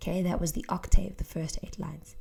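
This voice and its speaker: Speaking with an English accent at a fairly quick pace, a woman has a medium pitch and ordinary pitch variation. Her tone is dark and mellow, and somewhat breathy. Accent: English accent when speaking Afrikaans. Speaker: teacher. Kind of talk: tutorial.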